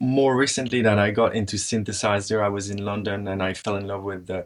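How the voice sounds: A man speaks at fairly low pitch with little pitch movement, in a dry, close sound with no echo. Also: fairly quick pace.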